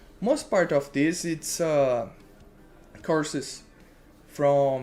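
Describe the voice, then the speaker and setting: A man speaks with a Brazilian Portuguese accent while faint music plays in the background. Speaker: web developer streamer. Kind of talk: live coding tutorial. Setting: live stream. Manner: halting, searching for words. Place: home room.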